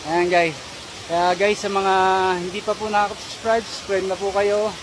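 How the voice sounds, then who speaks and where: The speech moves at a fairly quick pace. The sound is dry with no echo, though noticeable background noise comes through. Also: man. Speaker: hiking vlogger. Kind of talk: casual vlog chat. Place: forest. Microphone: phone near.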